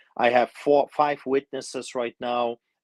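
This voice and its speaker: A man with a non-native accent, at a moderate pace and with fairly even intonation, in a dry, close sound with no echo. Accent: foreign. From immigrant to Canada from another country. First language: not English. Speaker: pastor. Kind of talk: interview. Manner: halting, many fillers.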